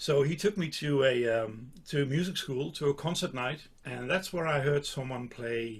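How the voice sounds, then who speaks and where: Pitch moves up and down in an ordinary way. The voice is somewhat breathy. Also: man, fairly high pitch for a man, moderate pace. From Netherlands. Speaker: saxophonist. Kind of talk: casual interview chat.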